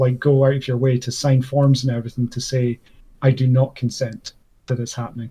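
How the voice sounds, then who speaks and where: A man with a Scottish accent speaks at a medium pitch in a dark, mellow tone, somewhat breathy and flat, monotone in intonation. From Scotland. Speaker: debate channel host. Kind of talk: casual debate discussion. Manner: halting, many fillers.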